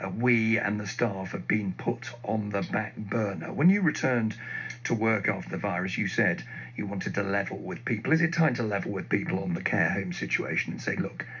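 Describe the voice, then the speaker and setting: Lively intonation marks a man's fairly low-pitched voice at a fairly quick pace. Noticeable background noise runs underneath. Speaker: radio news presenter. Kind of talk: radio news interview.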